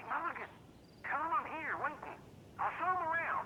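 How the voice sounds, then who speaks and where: A put-on character voice at an extremely high pitch moves at a fairly quick pace. Clear background noise sits behind it. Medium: video game. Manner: loud, blunt.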